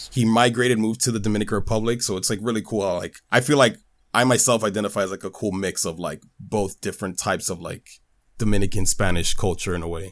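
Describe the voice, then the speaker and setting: Speaking very fast, a man keeps a fairly low pitch and fairly even intonation. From New York. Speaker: YouTuber. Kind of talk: casual chat. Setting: video call.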